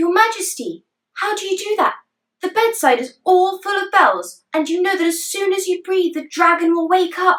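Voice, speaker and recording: A woman puts on a squeaky character voice at an extremely high pitch. She keeps a moderate pace and fairly even intonation. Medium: read story.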